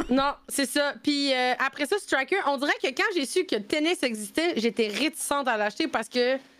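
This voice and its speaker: Her voice is high in pitch with lively intonation. The woman speaks with hardly any pauses. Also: moderate pace, very even loudness. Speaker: streamer and nurse. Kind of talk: casual chat. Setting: live stream. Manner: animated.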